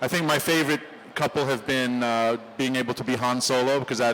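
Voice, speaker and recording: With an ordinary speaking voice, a man at a medium pitch moves at a fairly quick pace and keeps his intonation fairly even. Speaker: voice actor. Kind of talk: convention panel talk. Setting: convention stage, live audience.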